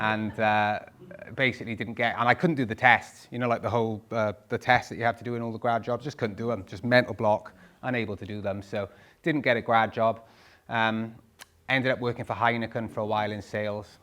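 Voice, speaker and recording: Medium-pitched male speech with a Welsh accent, fairly even intonation, and a fairly quick pace. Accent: Welsh (Swansea). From Wales, Swansea. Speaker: property investor. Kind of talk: talk to live audience. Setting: stage with audience.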